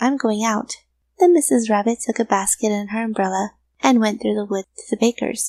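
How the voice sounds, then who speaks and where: Here is a woman with an ordinary speaking voice and a fairly high pitch, talking at a fairly quick pace. The sound is dry and close with no echo. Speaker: voice actor. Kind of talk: children's story reading.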